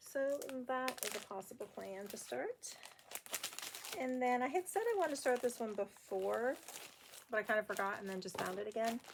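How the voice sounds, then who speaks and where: Over noticeable background noise, a woman with a fairly high pitch speaks with long, frequent pauses. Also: lively intonation, moderate pace. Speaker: cross stitch video blogger. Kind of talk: casual chat.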